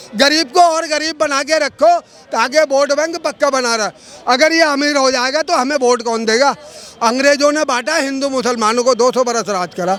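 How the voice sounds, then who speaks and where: There is noticeable background noise behind a man's extremely high-pitched voice. His pitch varies in an ordinary way. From India, Delhi. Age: 70s. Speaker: member of the public. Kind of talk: street interview. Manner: animated.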